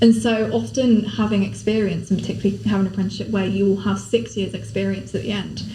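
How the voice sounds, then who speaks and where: Over noticeable background noise and audible room echo, a woman talks at a very fast pace. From Somerset, England. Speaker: law apprentice. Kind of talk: podcast interview.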